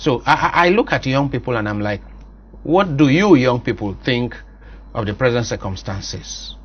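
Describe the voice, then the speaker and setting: A man at a moderate pace with a Nigerian accent. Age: 50s. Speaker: priest and talk show host. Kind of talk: interview. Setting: studio.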